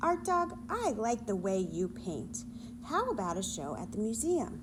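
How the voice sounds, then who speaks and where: A female-sounding, put-on character voice speaks at a medium pitch and moderate pace. Loud background noise runs underneath. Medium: read story. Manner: excitable.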